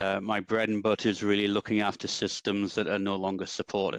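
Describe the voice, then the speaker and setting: An English accent marks this man's fairly low voice. The sound is dry and close with no echo, against a quiet background. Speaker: database consultant. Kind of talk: technical presentation. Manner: hesitant, many ums.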